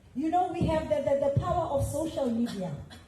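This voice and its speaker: A woman speaks loudly at a high pitch with ordinary pitch variation. Audible room echo and noticeable background noise are present. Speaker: veteran musician. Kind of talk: panel discussion. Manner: animated.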